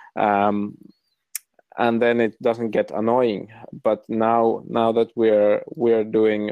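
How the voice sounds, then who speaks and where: A man with a fairly low voice speaks in a flat monotone. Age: 20s. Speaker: camera shop founder. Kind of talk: casual interview. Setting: phone call. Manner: halting.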